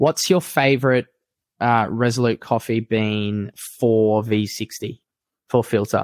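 A man with an Australian accent speaks at a fairly slow pace and medium pitch, with fairly even intonation and a dry, close sound with no echo. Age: 30s. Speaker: elite fitness racing athlete and coach. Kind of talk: casual chat. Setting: video call.

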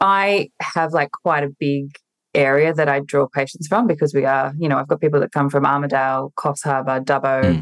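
A woman with a very deep, low pitch speaks at a moderate pace with ordinary pitch variation and very even loudness, in a dry, close sound with no echo. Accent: Australian. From regional New South Wales, Australia. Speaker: nurse injector and business coach. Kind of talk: casual interview. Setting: at home, remote call.

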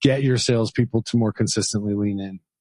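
This man has an unremarkable speaking voice, fairly low in pitch. He talks at a fairly quick pace with ordinary pitch variation. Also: dry, close sound with no echo. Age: 40s. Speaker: podcast host. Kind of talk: interview.

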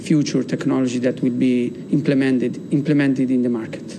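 A man with a medium-pitched voice speaks in a flat monotone, with audible room echo and noticeable background noise. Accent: Italian. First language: Italian. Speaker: battery company executive. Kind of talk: interview. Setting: studio.

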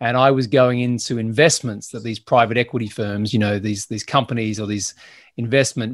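In a very clean recording with a silent background, a man with an Australian accent talks at a fairly quick pace, his medium pitch and fairly even intonation carried by a dry, close sound with no echo. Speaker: business growth consultant and podcast host. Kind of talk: interview.

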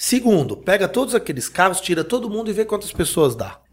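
A man's voice comes through somewhat breathy. He talks at a fairly quick pace. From France. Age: 40s. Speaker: urban mobility expert. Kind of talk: panel discussion.

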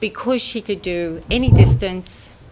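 Over noticeable background noise, a woman with an Australian accent talks at a fairly slow pace. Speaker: former pro triathlete, soft tissue therapist. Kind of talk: interview.

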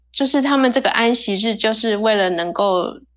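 Using a plain, everyday voice, a woman talks at a moderate pace, her pitch varying in an ordinary way. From Taiwan. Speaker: percussionist. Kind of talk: casual chat.

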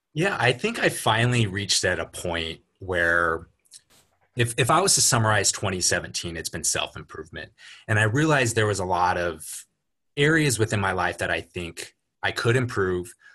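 Against a quiet background, a man with a Californian accent speaks at a moderate pace, with fairly low pitch, a bright, sharp tone and lively intonation. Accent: General American (Californian). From Los Angeles area, US. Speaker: coaching client. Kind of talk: casual interview.

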